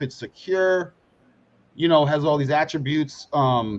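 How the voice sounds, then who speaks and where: The background is quiet. A man speaks with a fairly high pitch and lively intonation. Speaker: crypto investor. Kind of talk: casual chat. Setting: live stream. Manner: halting.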